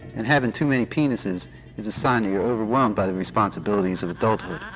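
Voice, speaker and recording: Music sounds behind the voice. The words come out very fast. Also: man. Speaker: radio DJ. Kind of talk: comedic late-night radio DJ patter, deadpan jokes between songs. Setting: radio station broadcast.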